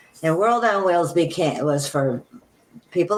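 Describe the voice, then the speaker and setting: A woman's fairly low voice with lively intonation over noticeable background noise. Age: 80s+. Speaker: entrepreneur. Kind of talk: interview answer. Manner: hesitant, with fillers.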